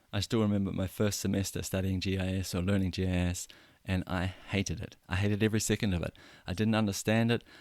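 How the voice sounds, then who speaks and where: Speaking at a very fast pace with a New Zealand accent, this voice stays monotone and flat, on a very clean recording with a silent background. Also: man, fairly low pitch for a man. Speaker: podcast host. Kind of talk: personal story monologue. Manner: conversational, some hesitations.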